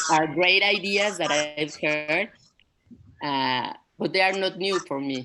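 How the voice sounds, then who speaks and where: A woman with a Spanish accent speaks very slowly at a fairly low pitch with ordinary pitch variation. Music plays in the background. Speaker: retreat participant. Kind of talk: casual group sharing. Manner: halting.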